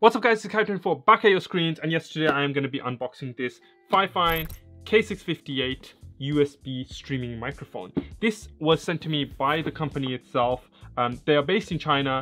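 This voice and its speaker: A man talks at a fairly quick pace while faint music plays in the background. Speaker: tech youtuber. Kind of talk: product review vlog. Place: home room.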